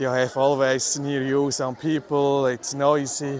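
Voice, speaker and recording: Over noticeable background noise, a man speaks with a Swiss German accent. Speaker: livestreamer, city walk vlogger. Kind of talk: live walking tour commentary. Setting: outdoors, city streets. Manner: casual, halting with fillers.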